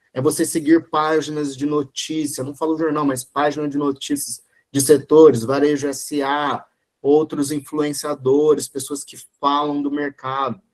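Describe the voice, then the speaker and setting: Speaking at a fairly slow pace, a man with a fairly high pitch keeps a monotone, flat intonation while his loudness swings widely. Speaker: e-commerce consultor, guest lecturer. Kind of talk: online lecture.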